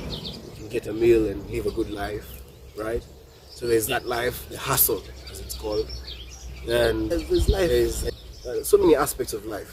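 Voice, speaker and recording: Amid noticeable background noise, a man talks with long, frequent pauses and big swings in loudness. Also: moderate pace. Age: young. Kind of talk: reflective monologue to camera. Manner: thoughtful, hesitant.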